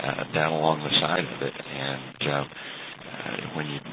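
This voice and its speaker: A man's very deep, low voice in an American accent, monotone and flat, over noticeable background noise. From Texas. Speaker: amateur radio operator. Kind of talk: radio contact conversation. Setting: internet radio link. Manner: halting, many fillers.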